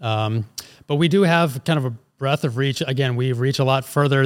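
An American-accented man speaks at a fairly quick pace in a medium pitch, with an unremarkable speaking voice. The recording is very clean, with a silent background. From Philadelphia, US. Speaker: ag company president, former chemical engineer. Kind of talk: casual interview.

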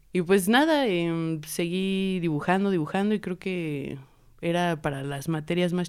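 An ordinary speaking voice delivered at a fairly slow pace. The pitch varies in an ordinary way. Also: woman. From Mexico, raised in Puebla. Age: 20s. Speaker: visual artist and tattoo artist. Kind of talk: casual chat. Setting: studio.

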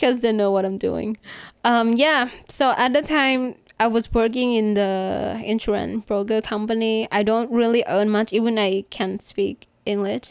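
A woman with a Thai accent speaks at a fairly high pitch with fairly even intonation and very even loudness, on a very clean recording with a silent background. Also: fairly slow pace. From Thailand, Bangkok. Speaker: rooftop climber and photographer. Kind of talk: casual interview chat.

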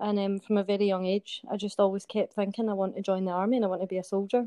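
At a very fast pace, a woman with a Glaswegian accent speaks at medium pitch in a dark, mellow tone with monotone, flat intonation. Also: dry, close sound with no echo. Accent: Glaswegian Scottish. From Scotland, Glasgow. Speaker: soldier. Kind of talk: interview. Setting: remote call.

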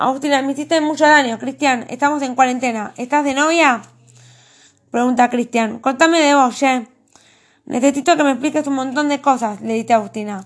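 A woman speaks fairly quickly in a Rioplatense accent. Her pitch is high and her intonation fairly even. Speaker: author. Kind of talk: reading aloud.

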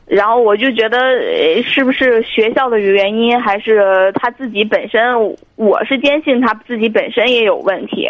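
A woman speaks in a plain, everyday voice at a fairly high pitch and a moderate pace. Her intonation stays fairly even. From Tianjin. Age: 30s. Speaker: caller. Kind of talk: phone-in call. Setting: phone call.

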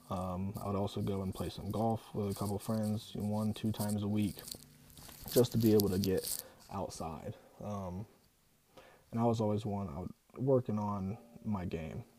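With an American accent and a fairly low pitch, a man speaks at a moderate pace with fairly even intonation and long, frequent pauses. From Ohio, US. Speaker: podcast host. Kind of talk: solo podcast monologue. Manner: hesitant, many fillers.

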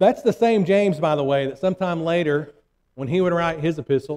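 Dry and close with no echo, this voice shows ordinary pitch variation. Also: man. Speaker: preacher. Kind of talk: sermon. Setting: church. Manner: fervent, emphatic.

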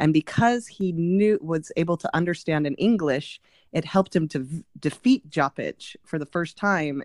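A woman's normal speaking voice, fairly low in pitch, with lively intonation at a moderate pace and a dry, close sound with no echo. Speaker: podcast host. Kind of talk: casual chat.

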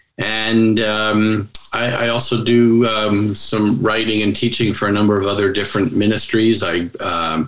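Amid audible room echo, a man with an American accent speaks at a fairly slow pace and fairly low pitch, with little pitch movement and a fairly bright tone.

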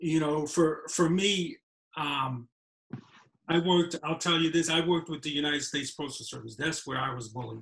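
The man's pitch is fairly high for a man. He speaks at a moderate pace with fairly even intonation. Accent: New York. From New York City. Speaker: filmmaker. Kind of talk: casual chat.

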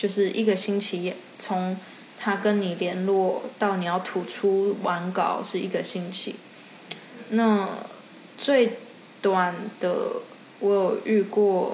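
A woman with a medium pitch talks at a very slow pace in a monotone, flat delivery, leaving long, frequent pauses. Audible room echo and noticeable background noise fill the recording. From Taiwan. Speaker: illustrator. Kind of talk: interview. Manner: frequent English code-switching.

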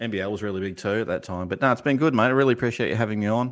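Ordinary pitch variation from a male speaker. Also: quiet background. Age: 40s. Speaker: basketball YouTube channel co-host. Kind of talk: casual chat.

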